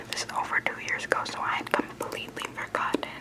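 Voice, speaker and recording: A woman whispers at a moderate pace. Noticeable background noise can be heard behind her. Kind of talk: ASMR storytime. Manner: whispered.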